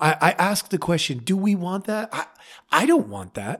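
At a moderate pace, the speaker uses a passionate, animated tone on a very clean recording with a silent background. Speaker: podcast host. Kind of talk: solo podcast commentary, passionate take. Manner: passionate, animated, with frequent filler words.

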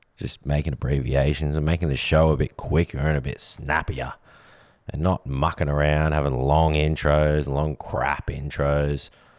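A man with a very deep, low pitch talks at a moderate pace in a monotone, flat intonation. Noticeable background noise runs underneath. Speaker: podcast host. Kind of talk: casual banter podcast.

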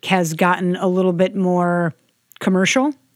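Here a woman talks at a medium pitch and a fairly slow pace, in a plain, everyday voice. The recording is very clean and the background silent. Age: 20s. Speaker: sommelier, podcast co-host. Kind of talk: casual chat.

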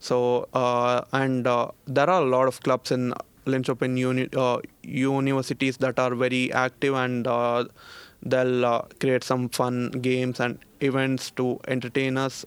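A man's medium-pitched voice in an Indian accent, fairly slow, monotone and flat, with very even loudness. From India, Bangalore. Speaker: master's student. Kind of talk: casual interview chat. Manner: halting, many fillers and repeats.

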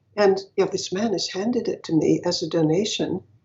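This woman has a plain, everyday voice at a medium pitch. She talks at a moderate pace with ordinary pitch variation. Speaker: businesswoman and activist. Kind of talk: casual interview conversation.

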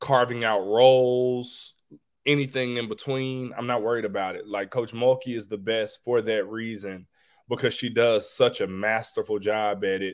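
Here a man talks at a moderate pace, a normal speaking voice at a medium pitch. His intonation is fairly even. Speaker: college basketball assistant coach. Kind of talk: interview. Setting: remote video call.

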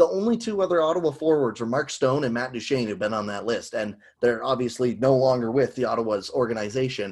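Barely pausing, a man rattles along at a very fast pace. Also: medium pitch for a man, lively intonation. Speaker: sports podcast host. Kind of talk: casual chat.

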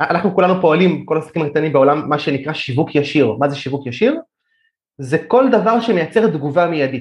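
A man with a plain, everyday voice speaks at a fairly quick pace, using lively intonation at a fairly high pitch. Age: 30s. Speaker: digital marketer. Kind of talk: podcast interview.

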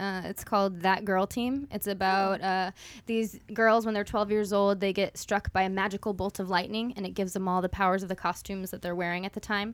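A fairly quick voice with a flat, monotone delivery and hardly any pauses. The recording is very clean, with a silent background. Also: woman, medium pitch for a woman. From Kentucky. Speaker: audiobook narrator. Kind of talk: casual chat.

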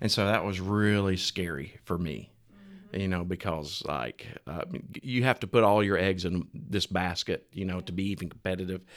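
With an Alabama accent, the speech has ordinary pitch variation and a moderate pace on a very clean recording with a silent background. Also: man, very deep, low pitch for a man. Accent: Southern US (Alabama). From Alabama, US South. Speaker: restaurant franchise owner. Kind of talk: casual interview chat. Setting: studio.

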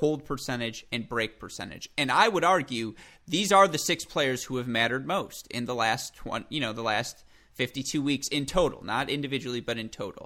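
In a very clean recording with a silent background, a man speaks with a medium pitch. His tone is bright and sharp, and his intonation is lively. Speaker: tennis journalist. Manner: fast talker; animated.

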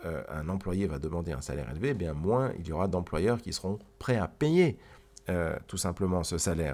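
A man speaks at a very deep, low pitch, his voice making very wide pitch swings. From Switzerland, Geneva. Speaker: economics podcast co-host. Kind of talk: explanatory conversation. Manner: halting, frequent repetitions.

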